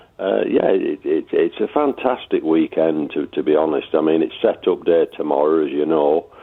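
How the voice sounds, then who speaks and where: Speaking at a moderate pace with hardly any pauses, a man keeps his loudness very even. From Lancashire, northern England. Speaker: motorbike enthusiast. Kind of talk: radio interview. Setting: phone call.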